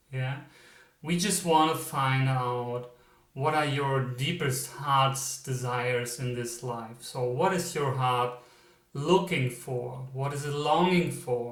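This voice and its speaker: In a German accent, a somewhat breathy man speaks at a very slow pace and medium pitch, with audible room echo. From Germany. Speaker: psychic medium, tarot reader. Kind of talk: pick-a-card tarot reading intro. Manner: hesitant, many fillers.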